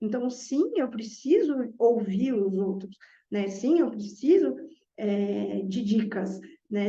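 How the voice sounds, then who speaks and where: A somewhat breathy woman with a dark, mellow tone speaks very slowly at a fairly high pitch, her intonation lively, amid audible room echo. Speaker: math teacher. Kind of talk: reflective monologue.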